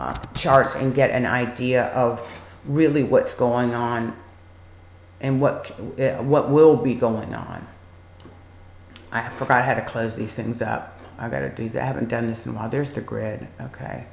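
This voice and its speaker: Over noticeable background noise and audible room echo, a woman with a very deep, low pitch speaks in a monotone, flat intonation, with long, frequent pauses and big swings in loudness. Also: moderate pace. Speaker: stock market educator. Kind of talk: screen-share trading tutorial. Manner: casual, hesitant with fillers.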